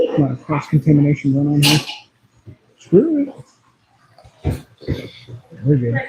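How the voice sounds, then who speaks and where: A man with an American accent and a fairly high, somewhat breathy voice speaks at a moderate pace, with long, frequent pauses. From United States. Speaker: streamer. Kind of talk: casual chat. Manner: animated.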